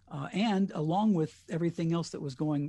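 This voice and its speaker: A man with an American accent speaks in a dark, mellow tone. His voice is somewhat breathy, over a quiet background. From US Colorado. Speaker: radio host with MS. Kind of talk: casual interview.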